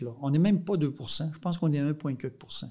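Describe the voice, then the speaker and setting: A man has a dark, mellow tone and sounds somewhat breathy. The recording is very clean with a silent background. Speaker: dairy farmer and farm union leader. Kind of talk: casual interview.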